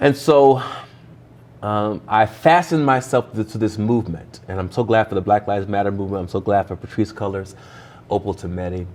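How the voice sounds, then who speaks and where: A man's fairly low voice, an ordinary speaking voice with an American accent, ordinary pitch variation and a fairly quick pace. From Ohio, US Midwest. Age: 30s. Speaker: pastor. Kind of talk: interview conversation. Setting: church.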